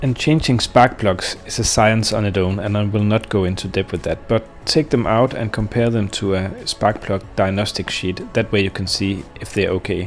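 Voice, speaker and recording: With a Danish accent, a man speaks at a moderate pace with hardly any pauses. His pitch is fairly low, his intonation fairly even, and there is noticeable background noise. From Denmark. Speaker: boat owner, DIY maintenance YouTuber. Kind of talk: tutorial. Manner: casual, with filler hesitations.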